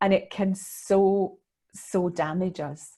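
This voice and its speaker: A woman with a Scottish accent speaks at a very slow pace, fairly low in pitch and somewhat breathy. Her tone is dark and mellow, her intonation fairly even. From Scotland. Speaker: leadership consultant and mentor. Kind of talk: podcast interview answer.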